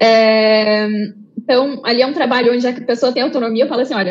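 A woman's fairly high, fairly even voice over noticeable background noise. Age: 30s. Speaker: research team lead. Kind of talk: online conference panel discussion. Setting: live online event.

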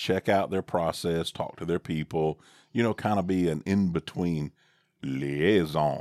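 A very deep, low-pitched man's voice in a Southern US accent, fairly slow, dry and close with no echo on a very clean recording with a silent background. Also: ordinary pitch variation. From US South. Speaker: father co-host, podcaster. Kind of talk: casual chat. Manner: jokey, wordy.

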